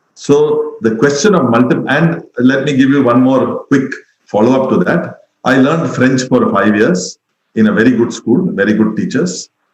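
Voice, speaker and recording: A man's medium-pitched voice with an Indian accent, lively intonation and a moderate pace. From India, Mumbai. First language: Tamil. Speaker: education expert. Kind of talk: webinar talk.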